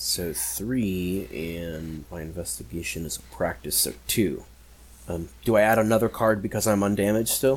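Very deep and low, a man's voice shows very wide pitch swings and big swings in loudness. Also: moderate pace. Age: 30s. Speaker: tabletop role-playing game player. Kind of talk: tabletop role-playing game session.

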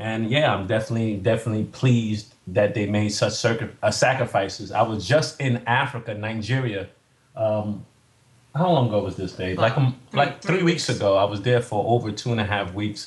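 A man with a New York accent speaks at a fairly quick pace, his medium-pitched voice somewhat breathy with ordinary pitch variation. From Staten Island, New York. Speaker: entrepreneur, fitness coach, navy veteran. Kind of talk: casual interview chat.

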